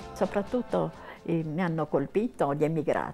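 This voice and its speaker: The tone is dark and mellow, on a very clean recording with a silent background. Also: woman. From Cagliari, Sardinia. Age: 80s+. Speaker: blogger. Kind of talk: interview answer.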